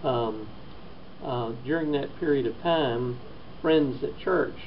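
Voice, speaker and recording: Amid audible room echo and noticeable background noise, a man speaks at a very slow pace with ordinary pitch variation. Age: 60s. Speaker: stroke patient. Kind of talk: testimony. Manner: halting.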